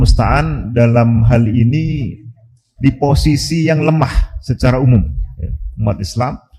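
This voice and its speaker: A man's medium-pitched voice with a dark, mellow tone and vocal fry, at a moderate pace with ordinary pitch variation. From Java, Indonesia. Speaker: Islamic preacher. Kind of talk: religious lecture. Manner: hesitant with frequent fillers.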